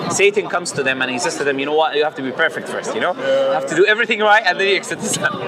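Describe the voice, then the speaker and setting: With noticeable background noise behind him, a man talks very fast in a fairly high voice with lively intonation. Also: hardly any pauses. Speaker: street preacher. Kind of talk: casual chat.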